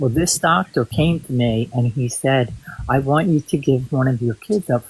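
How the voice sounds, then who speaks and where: A man speaks at a moderate pace in a medium pitch, with ordinary pitch variation and a somewhat breathy quality. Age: 60s. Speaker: guest on livestream. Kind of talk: casual chat. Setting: livestream.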